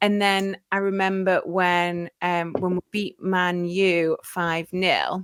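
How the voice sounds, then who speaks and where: A woman at a very slow pace with hardly any pauses, in a slight Geordie accent, medium-pitched with monotone, flat intonation and dry, close sound with no echo. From northern England, Newcastle. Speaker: football podcaster. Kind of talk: casual chat.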